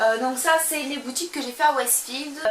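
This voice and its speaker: A high-pitched woman speaks with ordinary pitch variation in a room with audible echo, with noticeable background noise. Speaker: beauty vlogger. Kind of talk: casual haul vlog. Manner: fast; animated.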